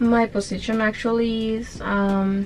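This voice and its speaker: A woman's fairly even intonation against noticeable background noise. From Honduras. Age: 20s. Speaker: cruise ship hotel cleaner. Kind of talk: interview. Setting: on a cruise ship. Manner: halting.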